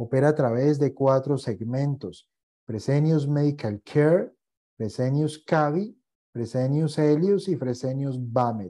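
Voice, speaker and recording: A man's fairly high pitch with a dark, mellow tone, ordinary pitch variation and a very slow pace over a quiet background. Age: 40s. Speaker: investment educator. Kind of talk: online masterclass lecture; lecture. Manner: hesitant, frequent fillers. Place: home room.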